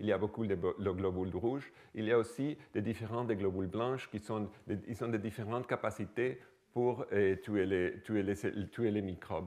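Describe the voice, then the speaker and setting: Over a quiet background, a man with a dark, mellow tone and a fairly low pitch talks at a moderate pace with ordinary pitch variation. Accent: non-native. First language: not French (speaking French). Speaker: microbiology researcher. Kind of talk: lecture. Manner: halting.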